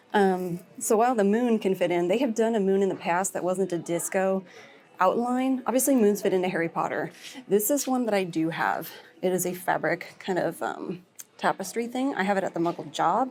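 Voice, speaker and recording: The speech comes at a fairly quick pace with ordinary pitch variation. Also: woman, medium pitch for a woman. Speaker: lifestyle vlogger. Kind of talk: casual shopping vlog. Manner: fast; animated.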